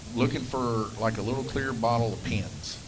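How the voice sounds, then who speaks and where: A man's moderate-paced speech comes through with noticeable background noise and audible room echo. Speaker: slot car race commentator and track operator. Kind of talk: live stream commentary.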